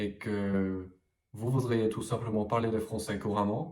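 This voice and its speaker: A man speaks with fairly even intonation. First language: English (speaking French). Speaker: French language coach. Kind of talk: vlog-style talk to camera. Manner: hesitant with frequent fillers.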